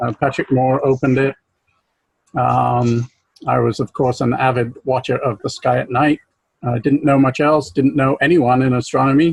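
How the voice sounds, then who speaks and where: A man's medium-pitched voice with an American accent, a moderate pace, fairly even intonation, and a dry, close sound with no echo. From southern England, Berkshire. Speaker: planetarium professional, astronomy speaker. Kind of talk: club talk. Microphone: unstable connection.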